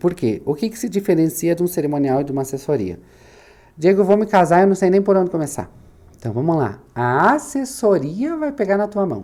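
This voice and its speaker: A man with a high voice and a dark, mellow tone talks at a fairly quick pace. His pitch swings very widely. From southern Brazil, Santa Catarina (Itaiópolis). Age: 30s. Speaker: wedding planner and business owner. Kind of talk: podcast interview. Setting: studio.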